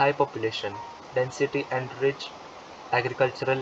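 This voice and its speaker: Speaking fairly quickly at a medium pitch, a man is heard over noticeable background noise. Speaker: audiobook narrator. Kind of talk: textbook audiobook reading. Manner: low-energy.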